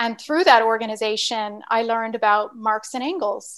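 A woman with a normal speaking voice and an American accent, fairly high in pitch, with fairly even intonation and a fairly quick pace. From Virginia, US. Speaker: scientist and activist. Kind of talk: interview discussion.

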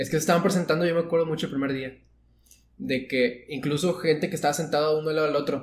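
Very fast talk from a man, fairly high pitch, fairly even intonation. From northern Mexico. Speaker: architecture student. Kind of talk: casual chat.

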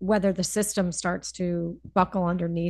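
Somewhat breathy and flat in intonation, a woman speaks at a fairly low pitch with an American accent against a quiet background. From US Northeast, Connecticut (Hartford area). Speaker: financial advisor. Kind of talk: casual interview.

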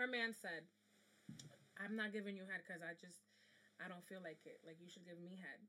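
A woman speaks fairly quickly at a medium pitch, animated and bright, with a sharp tone. Her loudness swings widely, and she leaves long, frequent pauses. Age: 20s. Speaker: podcast host. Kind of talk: casual chat.

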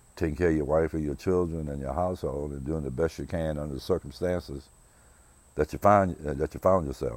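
This man's voice sits very deep and low in pitch. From US South, rural South Carolina. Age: 60s. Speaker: podcast host. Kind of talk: personal monologue. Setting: outdoors on his porch. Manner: reflective, hesitant with fillers.

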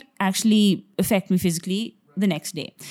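Recorded very cleanly against a silent background, a woman with an unremarkable speaking voice speaks at a fairly quick pace, her medium pitch carried in fairly even intonation. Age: 30s. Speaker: professional footballer. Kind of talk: casual chat.

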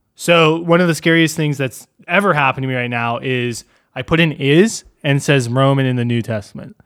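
Using an ordinary speaking voice, a man talks at a fairly quick pace and fairly high pitch with ordinary pitch variation. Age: 20s. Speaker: gaming podcast host. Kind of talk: casual chat.

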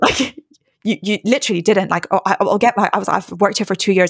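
Speaking at a very fast pace with vocal fry, a woman keeps a monotone, flat intonation in a dry, close sound with no echo. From London, England. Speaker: medical student and YouTuber. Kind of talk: casual interview chat.

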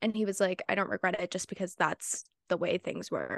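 At a moderate pace and medium pitch, a woman talks in a dry, close sound with no echo. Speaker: book club podcast co-host. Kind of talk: casual chat.

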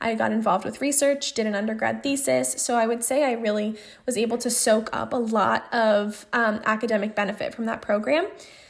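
A woman with a plain, everyday voice talks at a fairly quick pace with hardly any pauses. Her fairly high pitch moves in lively intonation. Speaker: podcast host and speech-language pathology grad student. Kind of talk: solo podcast monologue. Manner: casual, with frequent fillers.

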